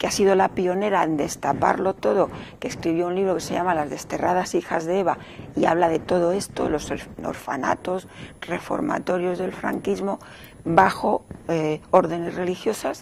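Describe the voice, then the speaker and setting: Amid noticeable background noise, a woman speaks at a fairly low pitch and a moderate pace with fairly even intonation. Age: 60s. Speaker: novelist. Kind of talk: interview.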